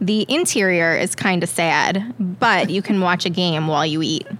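Speaking fairly slowly with an American accent, a woman has a normal speaking voice. Her pitch is medium, with ordinary pitch variation. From Long Island, New York. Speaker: podcast guest. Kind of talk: casual chat.

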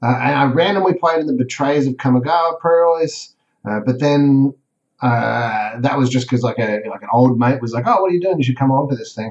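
With an Australian accent, a man speaks at a medium pitch and moderate pace, using ordinary pitch variation. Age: 30s. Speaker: competitive card game player. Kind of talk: casual interview.

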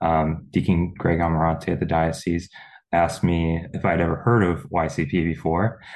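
A man speaks in a very deep, low voice with an American accent. The background is quiet. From Pennsylvania, Lancaster County. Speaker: data analyst, young professionals group organizer. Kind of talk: casual interview.

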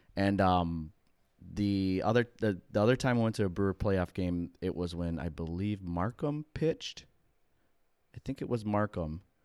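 A man with an American accent and a very deep, low pitch, at a moderate pace, in a very clean recording with a silent background. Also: ordinary pitch variation. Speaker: sports podcast co-host. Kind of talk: casual chat. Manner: animated.

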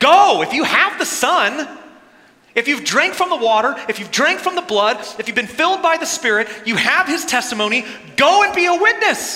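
Over noticeable background noise, a man projects a raised voice at an extremely high pitch, swinging very widely in pitch at a moderate pace. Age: 30s. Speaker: pastor. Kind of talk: sermon.

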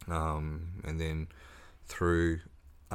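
A man with an Australian accent in a very deep, low voice, monotone and flat, at a very slow pace with audible room echo. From Tasmania, Australia (Ridgley, North West Coast). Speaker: author and drug and alcohol counsellor. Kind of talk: casual interview chat.

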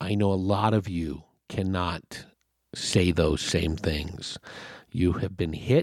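In a very clean recording with a silent background, a man speaks very slowly in a very deep, low pitch. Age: 50s. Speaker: podcast host. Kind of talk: solo podcast monologue, casual rant. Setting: home recording, solo at mic. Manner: earnest, exasperated, urging listeners to unplug and focus on the positive.

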